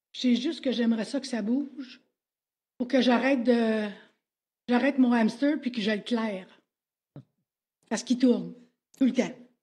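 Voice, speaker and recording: A woman with a Quebec accent speaks at a high pitch in a dark, mellow tone, her intonation fairly even and her speech marked by long, frequent pauses. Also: moderate pace. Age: 70s. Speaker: citizen addressing council. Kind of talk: public question period.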